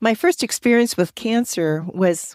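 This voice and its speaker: In a very clean recording with a silent background and a dry, close sound with no echo, a woman uses a normal speaking voice at a moderate pace with ordinary pitch variation. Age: 60s. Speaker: cancer survivor. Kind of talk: interview.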